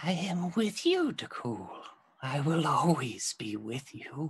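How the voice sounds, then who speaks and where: A man puts on a character voice, fairly high in pitch, with very wide pitch swings and a fairly slow pace. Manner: taunting, menacing.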